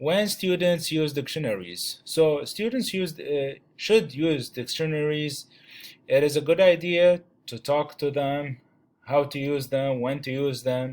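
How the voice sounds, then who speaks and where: Speaking at a fairly slow pace with a non-native accent, a man uses a fairly high pitch with ordinary pitch variation. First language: not English. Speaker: student teacher presenting a chapter. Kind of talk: class presentation. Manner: halting, many fillers.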